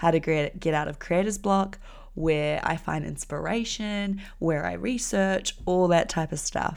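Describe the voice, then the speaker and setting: A speaker with a New Zealand accent is heard on a very clean recording with a silent background. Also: woman. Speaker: podcast host and graphic designer. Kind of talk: solo podcast monologue. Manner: casual, lots of fillers.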